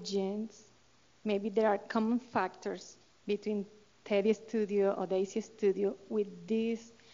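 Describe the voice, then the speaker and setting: In a Colombian accent, a woman at medium pitch speaks at a very slow pace with monotone, flat intonation. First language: Spanish. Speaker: study participant parent in audience. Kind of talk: audience question. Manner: halting.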